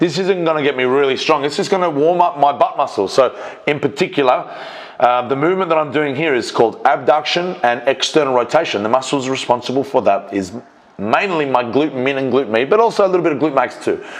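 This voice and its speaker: Fairly high-pitched male voice with an Australian accent and lively intonation, against noticeable background noise. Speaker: strength coach and powerlifter. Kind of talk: voiceover commentary on own training video. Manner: fast; casual, with fillers.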